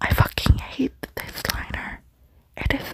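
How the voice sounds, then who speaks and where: Amid noticeable background noise, someone whispers at a fairly slow pace. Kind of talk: ASMR makeup unboxing. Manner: whispered.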